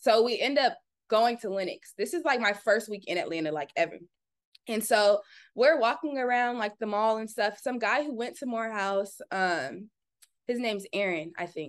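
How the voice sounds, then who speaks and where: Speaking in an ordinary speaking voice with an American accent, a woman talks at a fairly high pitch and a moderate pace. Her intonation is lively against a quiet background. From Southern California, Orange County. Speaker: content creator and entrepreneur. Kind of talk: casual interview chat.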